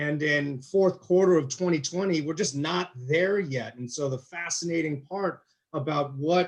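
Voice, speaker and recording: At a fairly slow pace, a man speaks in an ordinary speaking voice, fairly high in pitch with ordinary pitch variation. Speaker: panel moderator. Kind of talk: panel discussion.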